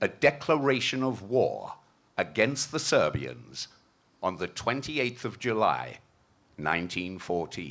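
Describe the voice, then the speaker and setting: A man talks at a fairly slow pace with a medium pitch and vocal fry. His pitch swings very widely, and long pauses come often. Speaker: narrator. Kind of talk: historical narration at a commemoration event. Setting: outdoors.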